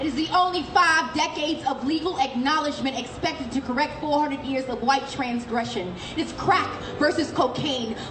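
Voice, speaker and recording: With music in the background, a woman speaks in a high pitch at a moderate pace, her tone passionate and her pitch variation ordinary. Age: young. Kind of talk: spoken word poetry performance. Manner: passionate, confrontational.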